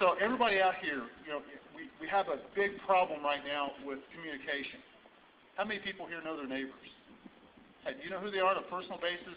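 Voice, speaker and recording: Speaking at a very fast pace with long, frequent pauses, a man with a high pitch shows big swings in loudness and ordinary pitch variation over light background noise. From Indiana, US Midwest. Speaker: sheriff candidate. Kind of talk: rally speech. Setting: rally audience, live event. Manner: earnest, fiery. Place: hall. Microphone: camera far.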